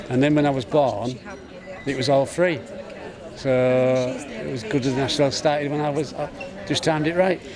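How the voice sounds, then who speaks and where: Amid audible room echo and noticeable background noise, a man with a fairly high pitch and ordinary pitch variation speaks with long, frequent pauses. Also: moderate pace. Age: 60s. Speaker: member of the public. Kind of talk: interview.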